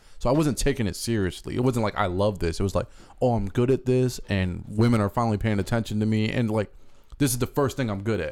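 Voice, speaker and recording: Pitch varies in an ordinary way as the words come very fast. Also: man, medium pitch for a man, very clean recording, silent background. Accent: American. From Chicago area. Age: 30s. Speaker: comedian and military veteran. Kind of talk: casual chat.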